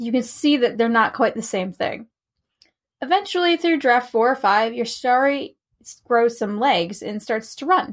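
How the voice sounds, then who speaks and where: A woman with a high pitch talks at a fairly slow pace in a very clean recording with a silent background. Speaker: fantasy and romance writer. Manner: encouraging, reassuring, lightly humorous.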